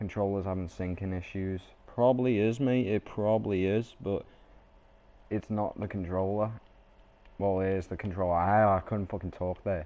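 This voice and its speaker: A man with a British accent speaks at a moderate pace in a fairly low pitch. His tone is dark and mellow, and his intonation stays fairly even. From Britain. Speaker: gaming streamer. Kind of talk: live gameplay stream chat.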